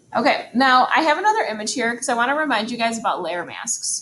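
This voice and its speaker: A woman's high voice with lively intonation. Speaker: photography teacher. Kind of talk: tutorial. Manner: fast; casual, hesitant with fillers.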